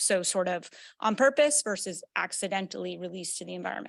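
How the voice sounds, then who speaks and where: The background is silent and the recording very clean. A woman moves through her words fairly quickly. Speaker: environmental remediation lead. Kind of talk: public meeting presentation. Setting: hybrid community meeting room. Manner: loud.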